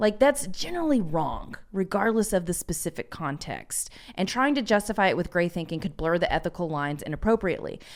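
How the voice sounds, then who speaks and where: Using an American accent, a woman at a medium pitch talks at a fairly quick pace with lively intonation and hardly any pauses. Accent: Southern US, comes out sometimes. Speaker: podcast co-host. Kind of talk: casual chat.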